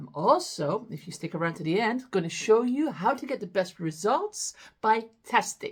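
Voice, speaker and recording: A woman talks at a moderate pace in a fairly high, animated voice. Her pitch swings very widely, and the background is quiet. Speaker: business growth coach. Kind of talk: tutorial. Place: home room.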